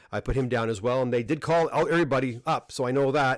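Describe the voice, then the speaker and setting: A man with a Canadian accent talks at a very fast pace and a fairly high pitch, recorded very cleanly against a silent background. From Canada, Ontario. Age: 50s. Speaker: comic book presser and dealer. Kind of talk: live stream chat. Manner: halting, many repetitions.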